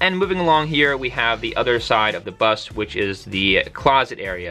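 Faint music sits behind the recording. A man speaks at a moderate pace. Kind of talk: casual tour narration. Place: bus. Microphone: phone near.

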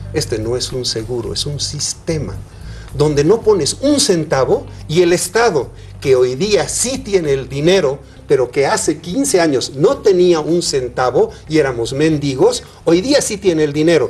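Over music in the background, a man with a fairly high pitch talks at a fairly slow pace with lively intonation. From Bolivia. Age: 70s. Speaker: senator and physician. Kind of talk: TV interview. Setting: studio. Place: studio. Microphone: lapel.

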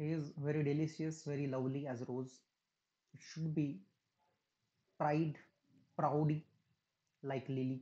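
A man speaks in a dark, mellow tone with a fairly high pitch. His delivery is monotone and flat, fairly slow, with long, frequent pauses. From India. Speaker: english lecturer. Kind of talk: lecture. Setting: recorded online class. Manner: halting. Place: home room. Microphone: webcam.

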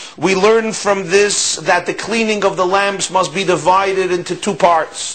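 Here a man talks at a moderate pace in a high pitch. His intonation stays fairly even. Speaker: religious teacher. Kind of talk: lecture. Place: office.

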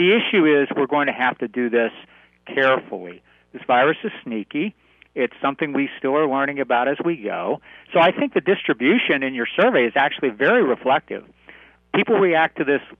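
A man talking at a fairly quick pace, dry sound with no echo, quiet background. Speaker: radio guest. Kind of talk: interview answer.

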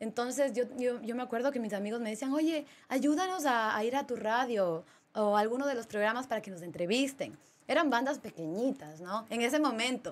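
Speaking at a fairly quick pace, a woman uses lively intonation at high pitch for a woman. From Ecuador, Ambato; Ecuador. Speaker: DJ; podcast guest, DJ. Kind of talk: casual interview chat. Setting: studio. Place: studio. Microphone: studio mic.

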